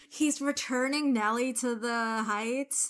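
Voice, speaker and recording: In a very clean recording with a silent background, a woman talks at a fairly slow pace with ordinary pitch variation. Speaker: movie reaction youtuber. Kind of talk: casual reaction commentary. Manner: soft-spoken; louder than usual due to headphones.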